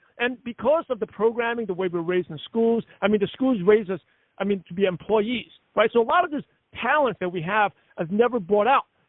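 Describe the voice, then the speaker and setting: This man's voice is high-pitched. He talks at a fairly quick pace with lively intonation. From US Northeast. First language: not English. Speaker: network marketing leader and podcast host. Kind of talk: conference call interview. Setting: conference call. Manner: fast; loud.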